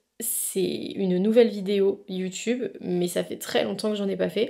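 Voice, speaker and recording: The voice has a dark, mellow tone with vocal fry. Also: woman. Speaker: lifestyle vlogger. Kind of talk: casual vlog talk to camera. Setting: at home. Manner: spontaneous with many hesitations.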